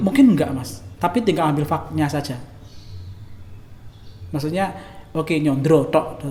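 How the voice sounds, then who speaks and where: A fairly high-pitched man uses lively intonation at a moderate pace, with long, frequent pauses. Noticeable background noise runs under his voice. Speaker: Javanese wedding MC. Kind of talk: interview answer.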